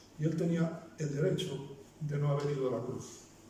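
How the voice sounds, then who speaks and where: This man's fairly high voice carries audible room echo over noticeable background noise. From Basque Country. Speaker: pastor. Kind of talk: sermon. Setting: church.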